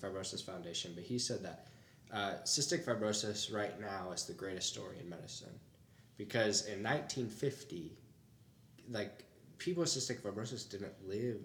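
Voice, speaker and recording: There's audible room echo as a man with a fairly low pitch speaks with lively intonation and big swings in loudness. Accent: Midwestern US. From Toledo, Ohio, US. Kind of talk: casual interview chat.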